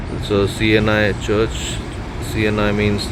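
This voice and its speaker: Noticeable background noise sits behind a man with an Indian accent. His intonation is monotone and flat. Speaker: newsreader, radio jockey. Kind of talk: casual vlog talk to camera.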